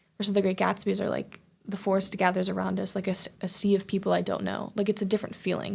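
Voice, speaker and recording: A woman's medium-pitched voice in an American accent, very fast, with monotone, flat intonation and vocal fry. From Maryland, US. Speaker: college student. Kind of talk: casual chat. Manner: occasional stutter.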